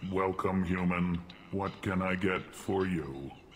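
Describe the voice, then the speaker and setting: A man puts on a character voice, pitched very deep and low. He goes at a fairly slow pace over clear background noise. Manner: tentatively excited, stated emotion up front.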